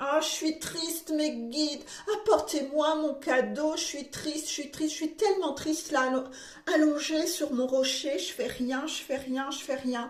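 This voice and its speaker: A woman's whiny, high-pitched put-on character voice at a moderate pace. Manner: whiny, whimpering.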